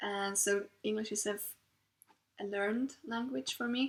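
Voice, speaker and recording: Here a woman speaks at a fairly high pitch. Her pitch variation is ordinary. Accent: Swiss German. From Switzerland. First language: Swiss German. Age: 30s. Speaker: knitting podcaster. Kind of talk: casual monologue. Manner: halting.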